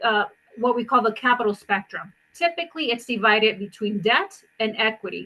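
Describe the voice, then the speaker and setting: A woman's bright, sharp voice, fairly high in pitch, at a fairly quick pace with ordinary pitch variation. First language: not English. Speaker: impact investor. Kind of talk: panel discussion. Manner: halting.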